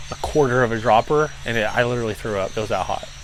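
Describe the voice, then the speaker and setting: Through noticeable background noise, a man talks in a medium pitch with fairly even intonation. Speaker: pepper reviewer. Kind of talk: casual video review. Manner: slurred speech from salivating.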